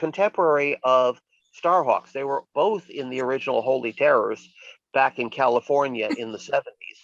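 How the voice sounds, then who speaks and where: The sound is dry and close, with no echo at all. A man talks with lively intonation. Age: 60s. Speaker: witch and occult practitioner. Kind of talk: casual interview chat. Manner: halting, many fillers and restarts.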